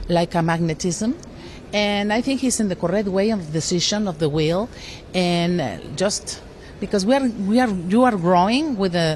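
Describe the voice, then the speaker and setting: Against noticeable background noise, a woman talks at a medium pitch with ordinary pitch variation. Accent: Mexican. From Mexico. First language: Spanish. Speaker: politician. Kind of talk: interview. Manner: halting.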